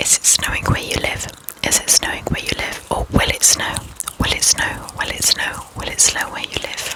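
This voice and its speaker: A woman whispers at a moderate pace. Noticeable background noise can be heard. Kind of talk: ASMR trigger words. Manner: whispered.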